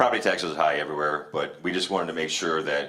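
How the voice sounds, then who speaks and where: A man talks at a fairly quick pace in a very deep, low pitch, with ordinary pitch variation. Audible room echo surrounds his voice. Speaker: village president. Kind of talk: public address with slides. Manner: fast; halting, many fillers.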